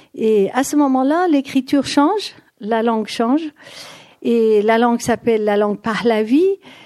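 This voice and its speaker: A woman speaks with a fairly high pitch and a dark, mellow tone, her intonation lively. She keeps a fairly slow pace at a very even loudness. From Iran. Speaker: speaker on Persian language and culture. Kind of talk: lecture. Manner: halting.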